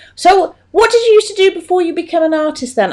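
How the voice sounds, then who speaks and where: The speaker talks at a fairly quick pace. The voice carries a West Country accent. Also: woman. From Stroud, Gloucestershire, England. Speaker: podcast host. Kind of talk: casual interview. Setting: podcast recording.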